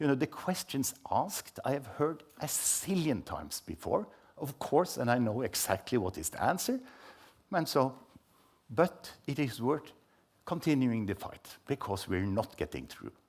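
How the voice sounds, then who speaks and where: At a moderate pace and medium pitch, a man speaks with very wide pitch swings and vocal fry, in a very clean recording with a silent background. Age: 70s. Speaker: scientist and report co-author. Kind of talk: panel talk.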